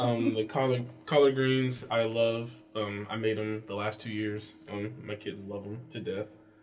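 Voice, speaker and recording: With music in the background, a man speaks in an American accent at a fairly low pitch and with fairly even intonation. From Pennsylvania and North Carolina. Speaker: podcast guest, family member. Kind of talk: casual chat.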